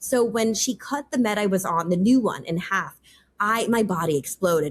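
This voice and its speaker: A woman with an American accent speaks in a somewhat breathy voice with lively intonation. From US Northeast, New York. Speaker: policy advisor. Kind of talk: interview. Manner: fast; casual, filler-heavy.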